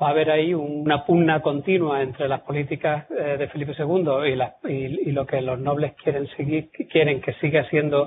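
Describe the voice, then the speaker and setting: With a Córdoba Andalusian accent, a man speaks at a moderate pace in a fairly high pitch, his intonation fairly even. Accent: southern Córdoba (Andalusian) Spanish. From southern Córdoba, Andalusia, Spain. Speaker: military historian, lecturer. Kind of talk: lecture. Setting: lecture hall with audience. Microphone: poor-quality audio recording, cleaned up.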